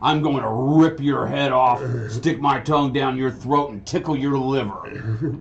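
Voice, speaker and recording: Bellowing in a put-on character voice, a man speaks at medium pitch and a moderate pace. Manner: threatening.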